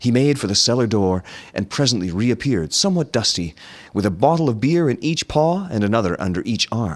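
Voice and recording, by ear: A passage is read aloud. The reader's voice is natural.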